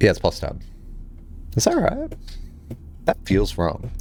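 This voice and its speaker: Fairly rapid speech from a man, noticeable background noise behind it. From Australia, Sydney. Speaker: video game streamer. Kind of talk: casual gaming livestream chat.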